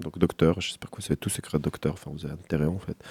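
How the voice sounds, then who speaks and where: On a very clean recording with a silent background, a man speaks in a dark, mellow tone, the sound dry and close with no echo. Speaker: radio host. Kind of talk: casual chat. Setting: studio. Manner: animated.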